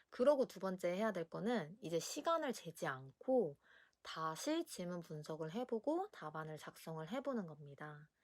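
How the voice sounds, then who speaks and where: With very wide pitch swings, the voice moves at a fairly slow pace in a dry, close sound with no echo. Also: woman, fairly low pitch for a woman. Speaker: essay writing tutor. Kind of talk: educational talk to camera.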